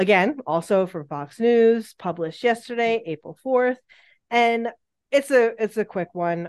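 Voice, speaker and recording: In a plain, everyday voice, a woman speaks at a fairly slow pace with fairly high pitch and lively intonation, recorded with a dry, close sound with no echo. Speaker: true crime podcast co-host. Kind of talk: casual true crime storytelling chat. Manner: giggly, playful.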